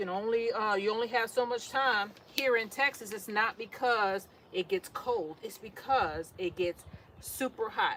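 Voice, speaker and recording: There is noticeable background noise as a woman speaks in a New York accent. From New York City. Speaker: gardening vlogger. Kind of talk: casual monologue while potting plants.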